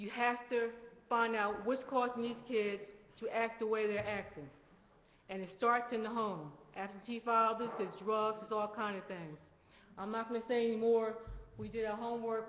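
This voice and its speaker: Her voice fairly high in pitch, a woman talks at a moderate pace with fairly even intonation in a room with audible echo. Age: 60s. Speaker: community committee chair. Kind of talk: committee report at community meeting.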